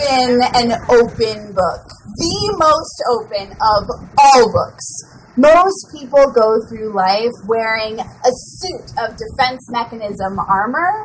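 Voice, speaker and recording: Over noticeable background noise, a woman speaks very slowly with lively intonation. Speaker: slam poet. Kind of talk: spoken word poetry performance.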